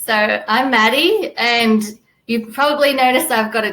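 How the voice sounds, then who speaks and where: Here a woman with an American accent has a high pitch. She keeps a moderate pace and ordinary pitch variation. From Australia and New Zealand. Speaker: fundraising copywriter. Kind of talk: panel discussion. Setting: live online video event.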